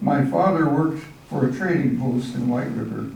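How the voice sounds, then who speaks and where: With an American accent, a man speaks fairly slowly at a fairly high pitch and with lively intonation, amid noticeable background noise and audible room echo. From Arizona, Apache reservation. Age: 90s. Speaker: church member telling life story. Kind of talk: personal testimony, read from prepared text. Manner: halting, self-correcting.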